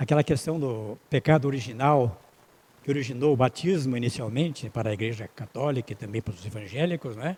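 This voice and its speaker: Speaking at a moderate pace, a man uses lively intonation in a somewhat breathy voice. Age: 80s+. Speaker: spiritist lecturer. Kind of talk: lecture. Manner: halting.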